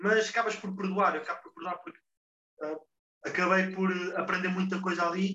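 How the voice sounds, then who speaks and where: At a moderate pace, a man with a high voice speaks in a raised, projected way. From Portugal. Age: 20s. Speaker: football player. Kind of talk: interview. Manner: halting.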